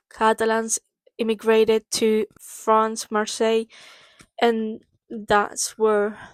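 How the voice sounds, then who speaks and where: With a Spanish accent, the speaker talks at a very slow pace in a very clean recording with a silent background and a dry, close sound with no echo. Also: woman. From Spain. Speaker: book vlogger. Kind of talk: casual book summary vlog. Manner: hesitant, many fillers.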